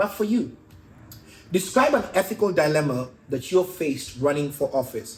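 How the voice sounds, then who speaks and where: At a moderate pace, the speaker sounds animated, with very wide pitch swings and big swings in loudness. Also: man. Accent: East African. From Kenya. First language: not English. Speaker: podcast host and stand-up comedian. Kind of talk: casual interview.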